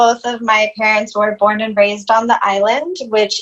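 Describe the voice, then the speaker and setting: This woman's voice sits at a fairly high pitch. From Puerto Rico, then US Midwest (Illinois) from age 8. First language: Spanish. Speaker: yoga instructor and anti-racism educator. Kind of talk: podcast interview. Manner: many filler words (um, uh).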